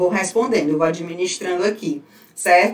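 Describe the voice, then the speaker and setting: A woman is speaking. Her tone is animated. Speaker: fashion business coach. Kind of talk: live stream teaching. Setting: live stream.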